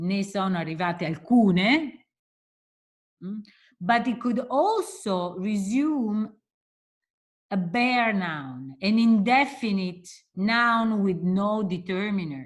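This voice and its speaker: Very slow and somewhat breathy, this voice has lively intonation, an Italian accent, and long, frequent pauses. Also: woman, medium pitch for a woman. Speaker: linguistics professor. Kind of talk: lecture.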